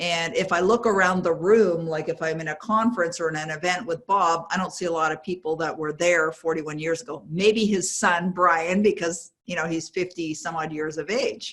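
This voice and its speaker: A woman talks at a fairly quick pace with fairly even intonation and a fairly low pitch. She has a plain, everyday voice. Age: 60s. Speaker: author and success coach. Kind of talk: interview.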